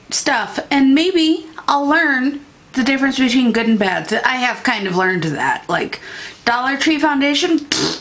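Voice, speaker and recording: With a Midwestern US accent, a woman talks at a fairly slow pace at a high pitch with very wide pitch swings. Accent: US Midwest. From Iowa, near the Mississippi River; Iowa. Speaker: beauty YouTuber. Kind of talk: casual vlog talk to camera. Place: home room.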